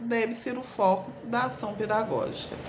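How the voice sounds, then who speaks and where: A woman with an interior São Paulo accent at a moderate pace, ordinary pitch variation, audible room echo, and noticeable background noise. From Brazil, interior of São Paulo state. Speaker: teacher educator. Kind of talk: lecture. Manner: casual, with fillers.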